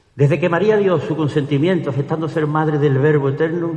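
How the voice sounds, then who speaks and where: Over noticeable background noise, a man with a fairly high pitch speaks in a solemn tone at a fairly quick pace with fairly even intonation. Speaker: ceremonial orator. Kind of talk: ceremonial oratory: solemn, devout pregón addressed to the Virgin and the congregation. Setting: church with audience. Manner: formal, solemn and fervent, measured pace with reverent, emotional delivery.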